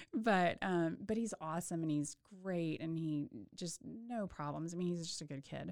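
A woman with a plain, everyday voice and an American accent speaks at a moderate pace in a fairly low pitch with ordinary pitch variation. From Texas, Waco. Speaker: obstetrician. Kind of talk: casual interview. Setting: studio.

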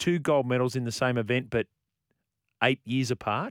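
At a moderate pace, a speaker with an Australian accent is heard in a very clean recording with a silent background and a dry, close sound with no echo. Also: man. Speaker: sports radio host. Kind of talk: live sports radio chat.

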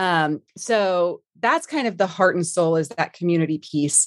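A woman with a Texan accent speaks at a fairly low pitch and a moderate pace with ordinary pitch variation. The sound is dry and close with no echo, against a quiet background. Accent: Texan American. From Texas, Dallas-Fort Worth area. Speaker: managing director of a product management community. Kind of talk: interview.

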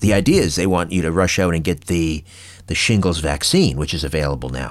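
A man's voice with vocal fry. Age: 50s. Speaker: podcast host. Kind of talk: casual chat. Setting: home studio.

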